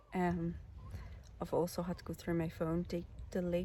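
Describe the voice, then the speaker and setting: A woman speaks softly with a Northern Irish accent. She talks at a fairly slow pace. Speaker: outdoor vlogger. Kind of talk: casual vlog. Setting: outdoors camping in tent. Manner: soft-spoken, low.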